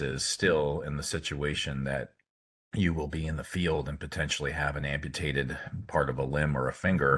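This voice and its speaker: Vocal fry runs through a man's very deep, low voice, which stays monotone and flat. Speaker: orthopedic hand surgeon. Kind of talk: lecture. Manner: fast; halting, many fillers.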